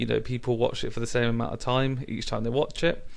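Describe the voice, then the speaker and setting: The speaker has a British accent. The intonation is monotone and flat. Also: man. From Britain. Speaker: YouTuber. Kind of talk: tutorial. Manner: hesitant, many fillers.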